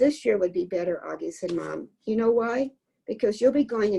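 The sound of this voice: Lively intonation marks this unforced reading voice. Behind it, all is quiet.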